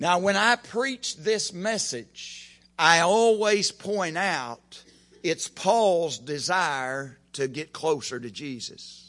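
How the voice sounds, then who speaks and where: Against a quiet background, a man with an American accent speaks at a very slow pace in a high, bright, sharp voice with very wide pitch swings. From Oklahoma. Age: 50s. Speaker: preacher. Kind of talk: sermon. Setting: church.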